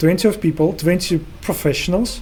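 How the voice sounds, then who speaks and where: Amid noticeable background noise, a man with a non-native accent speaks at a moderate pace with ordinary pitch variation. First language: not English. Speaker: interview host. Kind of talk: interview.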